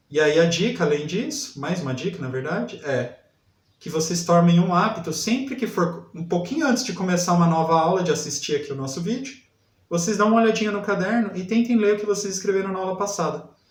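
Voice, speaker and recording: Lively intonation marks this fairly quick speech. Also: man, high pitch for a man. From interior of São Paulo state, Brazil. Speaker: literacy teacher. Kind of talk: lesson. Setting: online video class.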